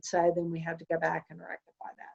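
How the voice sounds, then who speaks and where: In a normal speaking voice, a woman talks at a fairly quick pace with a medium pitch. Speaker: attorney. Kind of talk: webinar presentation.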